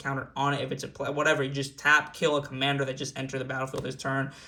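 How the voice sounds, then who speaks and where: Here a man talks at a fairly high pitch with a bright, sharp tone. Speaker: gaming YouTuber. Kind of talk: tutorial. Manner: fast; animated.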